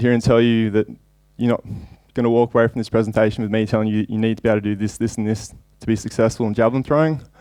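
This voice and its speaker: In an Australian accent, a man talks very fast at a medium pitch, his tone dark and mellow and his intonation monotone and flat. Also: very clean recording, silent background. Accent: thick Australian. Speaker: javelin coach and sports scientist. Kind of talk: conference lecture. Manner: hesitant with fillers.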